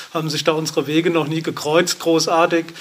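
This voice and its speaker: Noticeable background noise runs behind this man's fairly high pitch. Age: 50s. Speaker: drummer and electronic musician. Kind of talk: interview. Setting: studio, masked and distanced. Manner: hesitant, many fillers.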